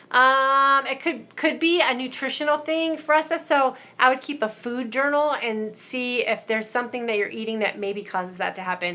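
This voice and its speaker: On a very clean recording with a silent background, a woman projects a raised voice with a bright, sharp tone and high pitch. She moves at a moderate pace with lively intonation and hardly any pauses. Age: 50s. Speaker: mindset coach hosting live stream. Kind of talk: live stream Q&A reading viewer comments. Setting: live broadcast on Facebook and YouTube. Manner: casual, conversational.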